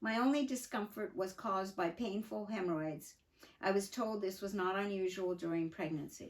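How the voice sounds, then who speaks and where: A woman speaks at a fairly slow pace. Her pitch is medium, with ordinary pitch variation. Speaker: mother telling her life story. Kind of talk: reading aloud from her own memoir with asides; casual aside. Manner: halting.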